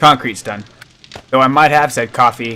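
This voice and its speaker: Against noticeable background noise, a man of medium pitch speaks at a moderate pace with fairly even intonation. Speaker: gaming streamer. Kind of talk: live gameplay stream. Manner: slurring.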